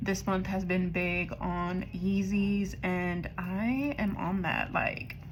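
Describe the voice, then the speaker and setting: Speaking very slowly with hardly any pauses, a woman holds a medium pitch, ordinary pitch variation and very even loudness, with audible room echo around her. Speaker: budgeting vlogger. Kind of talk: casual vlog chat. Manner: casual, chatty.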